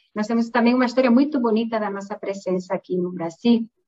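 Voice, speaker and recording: A woman speaks with a Spanish accent. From southwest Spain. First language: Spanish (speaking Portuguese). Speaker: pharmaceutical executive. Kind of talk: interview. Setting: online live stream.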